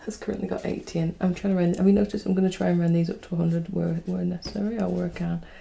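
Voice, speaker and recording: A woman speaks softly. Her intonation stays fairly even. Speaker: single mum budgeting YouTuber. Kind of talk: casual talk to camera. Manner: soft-spoken, chatty.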